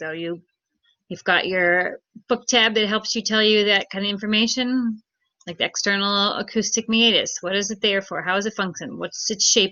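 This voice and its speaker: Fairly even intonation and a moderate pace in a plain, everyday voice. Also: woman, medium pitch for a woman. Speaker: teacher. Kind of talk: lecture.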